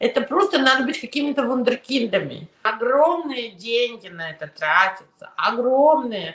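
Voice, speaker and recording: Her high voice swings very widely in pitch and shows big swings in loudness as this woman speaks at a fairly slow pace. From Soviet Union, raised in New York. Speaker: immigration lawyer. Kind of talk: interview.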